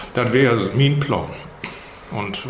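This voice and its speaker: A man is speaking amid noticeable background noise. The room gives off an audible echo. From Schleswig-Holstein, Steinburg district (Herzhorn). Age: 70s. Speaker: retired school headmaster. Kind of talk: casual interview in Low German. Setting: room in a museum.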